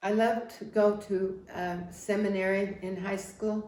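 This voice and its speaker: Audible room echo surrounds the voice. Its intonation is fairly even. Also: woman. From Wyoming, US Mountain West (rural). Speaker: family history interviewee. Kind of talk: life story interview. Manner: halting, with restarts.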